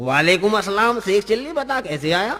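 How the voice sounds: A man puts on a character voice, high-pitched with a bright, sharp tone. He talks at a moderate pace with big pitch swings.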